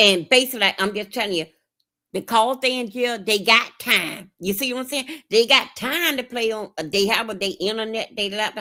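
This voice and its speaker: A woman's animated, fairly high voice at a moderate pace, with ordinary pitch variation. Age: 50s. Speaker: streamer giving advice. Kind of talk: casual chat.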